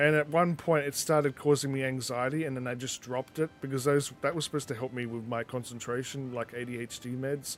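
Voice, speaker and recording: Over music in the background, a man with an Australian accent talks at a very fast pace in fairly even intonation, with hardly any pauses. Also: medium pitch for a man. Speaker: gaming streamer. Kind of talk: casual live-stream chat with gameplay commentary. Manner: mumbling at times.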